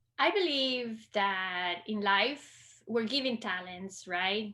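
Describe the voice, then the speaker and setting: A woman's fairly high, bright, sharp voice in a Costa Rican accent, at a very slow pace with lively intonation, on a very clean recording with a silent background. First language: Spanish. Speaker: librarian. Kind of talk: interview conversation. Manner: hesitant, many fillers.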